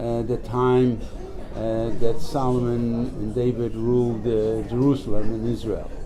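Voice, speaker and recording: Noticeable background noise and audible room echo accompany speech at a fairly slow pace in a monotone, flat intonation. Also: man, medium pitch for a man. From Poland. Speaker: Holocaust survivor. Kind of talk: interview. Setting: press office. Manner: halting.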